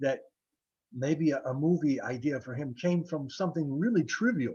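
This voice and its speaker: With an American accent, a man talks at a moderate pace in a fairly high pitch. His tone is dark and mellow, somewhat breathy, with lively intonation. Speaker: novelist and jazz guitarist. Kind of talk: interview. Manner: halting, many repetitions and fillers.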